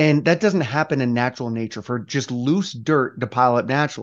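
In a quiet background, a man with an ordinary speaking voice talks at a fairly quick pace and medium pitch. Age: 40s. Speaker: army veteran, podcast host. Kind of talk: interview.

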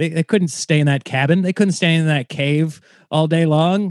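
In an American accent, the voice carries ordinary pitch variation over a quiet background, with a dry, close sound and no echo. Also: man. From Nebraska. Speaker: stand-up comedian. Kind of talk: casual interview chat.

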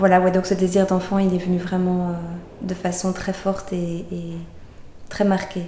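A woman at medium pitch, very slow pace with long, frequent pauses and monotone, flat intonation, amid noticeable background noise and audible room echo. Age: 30s. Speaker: doula. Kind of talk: birth story testimony. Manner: hesitant, many fillers.

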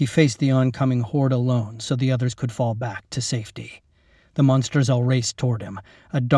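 Reading in an unforced voice.

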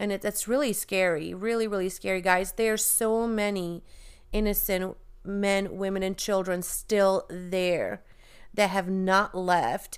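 A woman with a medium-pitched voice and a slight Bosnian accent speaks at a fairly slow pace on a very clean recording with a silent background. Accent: light Bosnian accent in American English. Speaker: podcast co-host. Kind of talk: casual chat. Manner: animated.

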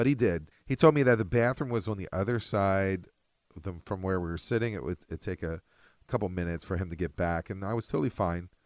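Against a quiet background, a man speaks at a very fast pace in a very deep, low voice with ordinary pitch variation and a dry, close sound with no echo. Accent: American. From US, south-central Pennsylvania (small town). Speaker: podcast host. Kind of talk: solo podcast monologue. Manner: enthusiastic, casual.

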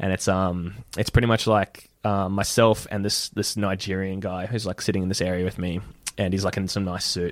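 On a very clean recording with a silent background, a man with an Australian accent speaks at a moderate pace in a very deep, low pitch with monotone, flat intonation. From Brisbane, Australia. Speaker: guest storyteller. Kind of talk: storytelling.

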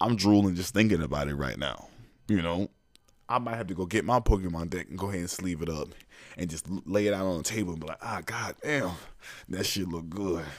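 Animated in tone, a man with a very deep, low pitch talks at a fairly quick pace with ordinary pitch variation. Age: 30s. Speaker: podcast host, football player and personal trainer. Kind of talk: casual solo podcast monologue.

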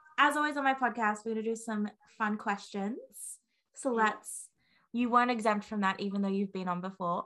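A fairly high-pitched woman's voice with a bright, sharp tone, fairly quick pace, ordinary pitch variation and long, frequent pauses. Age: 20s. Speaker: podcast host. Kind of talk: casual chat; scripted intro and outro. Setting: video call.

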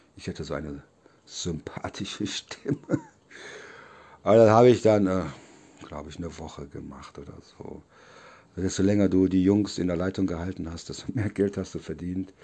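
A man speaks at a moderate pace in a very deep, low pitch with ordinary pitch variation. He leaves long, frequent pauses. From Oldenburg, northern Germany. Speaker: solo podcaster. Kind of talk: casual monologue. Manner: hesitant, many filler sounds.

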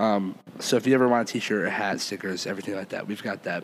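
Talking at a fairly quick pace in an unremarkable speaking voice, a man with an American accent and fairly low pitch shows ordinary pitch variation. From Michigan, US. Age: 20s. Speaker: rock band singer and guitarist. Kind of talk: casual chat.

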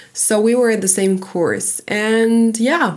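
A woman talks while noticeable background noise can be heard. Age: 20s. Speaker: podcast host. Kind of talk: casual solo chat.

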